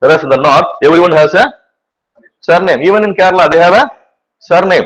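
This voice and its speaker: Speaking at a very fast pace, this man has a high pitch. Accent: Tamil. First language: Tamil. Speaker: teacher. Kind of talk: lecture. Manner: repetitive filler 'right'.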